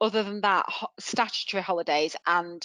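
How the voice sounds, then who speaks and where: A woman speaks with a Mancunian accent. The sound is dry and close, with no echo. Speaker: HR and employment law expert. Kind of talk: webinar Q&A answers.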